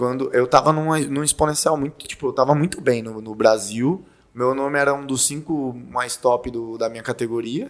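A man with a normal speaking voice and medium pitch talks at a moderate pace with hardly any pauses. His intonation is fairly even, but his loudness swings widely. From Brazil, Fortaleza (Ceará). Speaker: former pro fighter and personal trainer. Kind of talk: casual chat.

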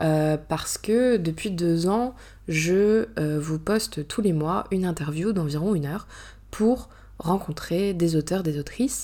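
The voice has a dark, mellow tone and ordinary pitch variation, moving at a very slow pace. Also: woman, fairly low pitch for a woman. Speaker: podcast host and author. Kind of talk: solo casual monologue. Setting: alone in a bedroom. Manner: hesitant, many fillers; natural, unscripted.

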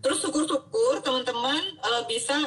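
This woman has an ordinary speaking voice with lively intonation. Her pace is moderate. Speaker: doctor, health educator host. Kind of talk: casual interview. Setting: Instagram live stream.

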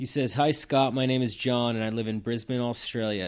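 Fairly quick speech from a man with a New England accent, on a very clean recording with a silent background. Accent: New England American. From Massachusetts. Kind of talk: testimony.

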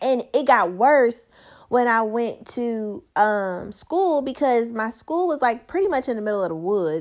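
Swinging very widely in pitch, a woman speaks in an animated tone at a fairly slow pace. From Gary, Indiana, US Midwest. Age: 20s. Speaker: podcast host. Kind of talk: casual solo commentary.

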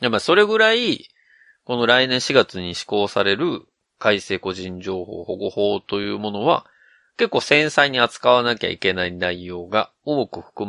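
With a western Japanese accent, a man speaks in a bright, sharp tone at a fairly low pitch. The sound is dry and close with no echo, over a quiet background. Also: big swings in loudness. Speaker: podcast host. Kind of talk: casual chat.

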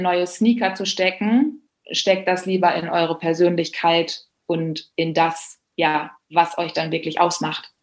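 A woman with a medium-pitched voice talks at a very slow pace. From Germany, Bielefeld. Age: 30s. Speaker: public speaker and blogger. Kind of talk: casual interview.

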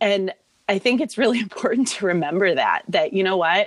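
In an American accent, a woman speaks with a normal speaking voice. Her pitch is medium and her intonation lively. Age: 30s. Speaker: assistant principal. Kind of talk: interview.

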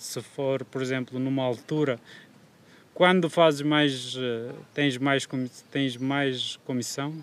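Fairly slow, monotone and flat speech from a man. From Kurdistan, Turkey. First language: Kurdish or Turkish (speaking Portuguese). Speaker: food delivery courier. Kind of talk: casual chat. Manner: halting.

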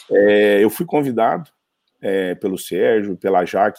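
Dry and close with no echo, a man's fairly low, dark, mellow voice moves at a fairly slow pace. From Brazil, Minas Gerais (Uberaba). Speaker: startup executive and investor. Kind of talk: casual interview.

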